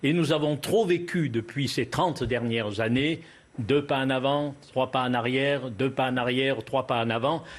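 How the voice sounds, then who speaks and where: This man speaks with a Cévennes accent at a medium pitch and a fairly slow pace. His pitch variation is ordinary and his loudness very even. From Lozère, southern France. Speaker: local representative. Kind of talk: TV panel debate.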